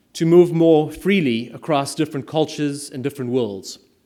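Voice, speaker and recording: In a South African accent, this voice has a dark, mellow tone, lively intonation and a moderate pace. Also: man. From South Africa, small mining town. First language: Afrikaans. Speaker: private equity attorney and impact investor. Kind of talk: speech to an audience.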